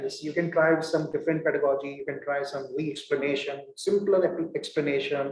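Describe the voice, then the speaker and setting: Audible room echo surrounds a man with an Indian accent. He talks at a fairly quick pace in a fairly high pitch. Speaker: professor. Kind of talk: lecture. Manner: halting, many fillers.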